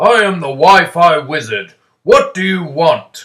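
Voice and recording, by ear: A man's put-on character voice, high-pitched and raspy, at a fairly slow pace.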